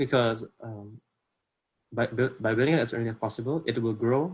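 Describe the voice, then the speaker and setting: Somewhat breathy, a man speaks at a moderate pace. His pitch is fairly low, with ordinary pitch variation. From Indonesia. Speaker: workshop speaker. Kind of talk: workshop presentation. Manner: halting, many fillers.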